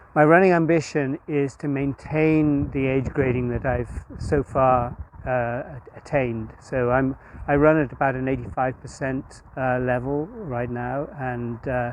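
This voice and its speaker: Noticeable background noise sits behind a man of medium pitch who speaks at a fairly slow pace with fairly even intonation. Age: 60s. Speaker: masters club runner. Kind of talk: interview. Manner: hesitant, many fillers.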